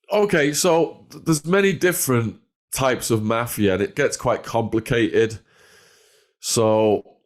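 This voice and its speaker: Speaking at a medium pitch with lively intonation, a man with an English accent is heard in a very clean recording with a silent background. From northwest England. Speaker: former drug dealer and ex-prisoner. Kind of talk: storytelling interview.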